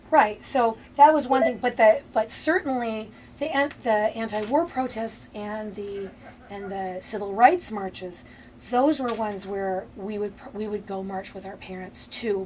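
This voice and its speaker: Using an Upper Midwest accent, a woman speaks at a fairly slow pace with a fairly high pitch, ordinary pitch variation and big swings in loudness. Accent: Upper Midwest American. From Minneapolis, Minnesota. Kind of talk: oral history interview answer. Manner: hesitant, conversational.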